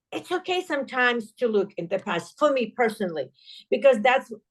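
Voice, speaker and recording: This woman has a fairly high voice and a non-native accent. She talks at a moderate pace. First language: not English. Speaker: entrepreneur. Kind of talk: podcast interview.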